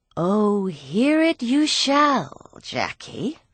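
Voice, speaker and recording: A female-sounding, put-on character voice is pitched fairly high. It swings very widely in pitch. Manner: disgusted.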